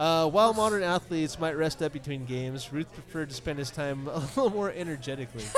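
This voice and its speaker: Over noticeable background noise, a man rattles along at a very fast pace, his fairly high pitch showing ordinary pitch variation. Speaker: podcast co-host. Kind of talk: live podcast recording with audience, casual banter. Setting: live venue with audience.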